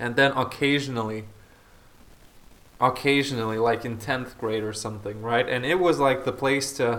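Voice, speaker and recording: The man talks with fairly even intonation. Audible room echo can be heard. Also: medium pitch for a man, moderate pace. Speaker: podcaster. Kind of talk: casual chat. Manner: hesitant, many fillers.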